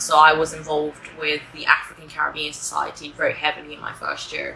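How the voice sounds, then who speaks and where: Over noticeable background noise, a woman speaks at a moderate pace with an English accent. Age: 20s. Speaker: university student. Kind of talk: interview. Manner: hesitant, many fillers.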